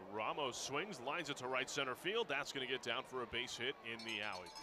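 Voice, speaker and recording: Medium-pitched male speech at a fairly quick pace, with noticeable background noise. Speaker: baseball radio announcer. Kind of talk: live baseball play-by-play commentary.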